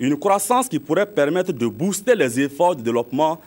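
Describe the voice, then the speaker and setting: A man's fairly high voice with very wide pitch swings at a moderate pace. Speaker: news reporter. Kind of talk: news report narration.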